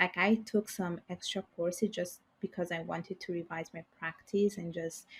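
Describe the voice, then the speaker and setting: A woman's somewhat breathy, medium-pitched voice in a flat monotone, on a very clean recording with a silent background. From Italy, Bangladeshi parents. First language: Bengali and Italian. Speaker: financial services professional. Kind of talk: podcast interview.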